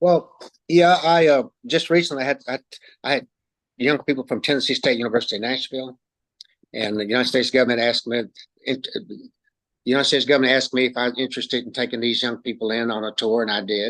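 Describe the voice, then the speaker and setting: A man of medium pitch at a very fast pace, with ordinary pitch variation and long, frequent pauses. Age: 70s. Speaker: retired park guide and volunteer. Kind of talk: interview. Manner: halting, repeats words.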